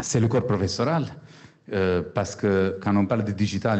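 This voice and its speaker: Speaking at a moderate pace, a man has a fairly low pitch with ordinary pitch variation. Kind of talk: panel discussion.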